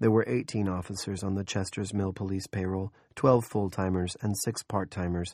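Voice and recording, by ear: Fairly level intonation, reading aloud in a natural voice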